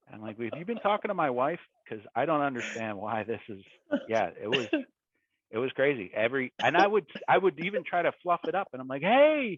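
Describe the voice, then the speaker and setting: A Philadelphia accent at a fairly quick pace, with very wide pitch swings and big swings in loudness. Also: man. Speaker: tech executive. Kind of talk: casual interview.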